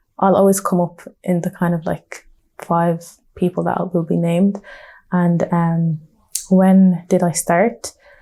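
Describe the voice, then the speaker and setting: A woman talks with a Dublin accent at a fairly slow pace. Her voice is fairly low-pitched, with a dark, mellow tone. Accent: Dublin Irish. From Dublin, Ireland (Blanchardstown). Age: 20s. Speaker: nail technician and entrepreneur. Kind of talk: interview. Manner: casual, many fillers.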